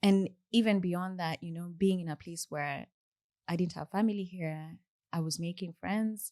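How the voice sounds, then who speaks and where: Against a quiet background, a woman with a Kenyan accent speaks at a moderate pace in a dark, mellow tone and fairly low pitch, her loudness swinging widely, the sound dry and close with no echo. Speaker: software engineer. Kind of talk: interview conversation. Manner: halting.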